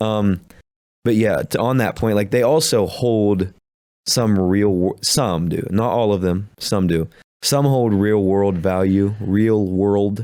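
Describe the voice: A man with an Appalachian accent, fairly low pitch and a dark, mellow tone at a very slow pace, very even in loudness, on a very clean recording with a silent background. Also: fairly even intonation.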